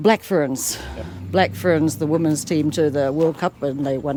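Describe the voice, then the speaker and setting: A woman's very deep, low voice at a fairly slow pace with ordinary pitch variation, over noticeable background noise. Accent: New Zealand. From New Zealand, Ashburton. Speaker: rugby fan and volunteer. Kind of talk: casual interview chat.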